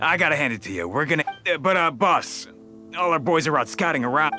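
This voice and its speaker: Over clear music in the background, a man puts on a raspy character voice at a fairly high pitch, speaking very fast with lively intonation. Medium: video game. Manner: hesitant, stammering, slangy.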